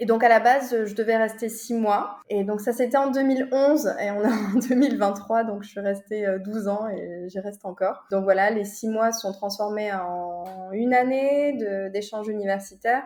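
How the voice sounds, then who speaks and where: Music plays behind a woman who speaks at a moderate pace with a fairly high pitch and fairly even intonation. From southern France, Toulouse. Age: 30s. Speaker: property investor. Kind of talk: interview. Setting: remote call.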